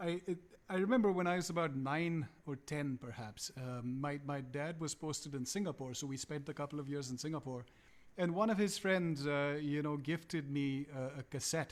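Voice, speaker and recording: A man with a Punjabi accent at a moderate pace, on a very clean recording with a silent background. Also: fairly high pitch for a man, ordinary pitch variation. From India, Calcutta. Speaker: musician. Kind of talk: casual chat. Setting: live stream. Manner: halting.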